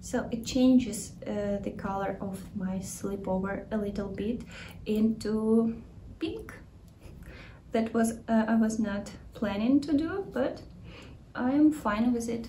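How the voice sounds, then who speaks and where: A woman with a Ukrainian accent speaks very slowly at a fairly high pitch, with ordinary pitch variation. She leaves long, frequent pauses, and the room echo is audible. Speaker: knitting podcaster. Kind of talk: casual video podcast talk. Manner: halting, with many fillers.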